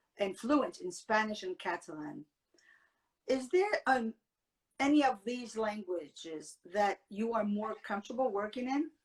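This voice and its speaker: Somewhat breathy, a woman speaks fairly slowly with a fairly high pitch and lively intonation. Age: 50s. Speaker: talk show host. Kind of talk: interview.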